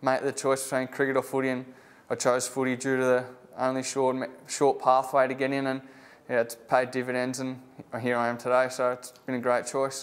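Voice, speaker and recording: A man talks in a strong Australian accent at a moderate pace. His intonation is monotone and flat. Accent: broad Australian, country. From Australia, Bacchus Marsh, Victoria. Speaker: AFL rookie footballer. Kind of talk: interview. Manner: casual, laid-back.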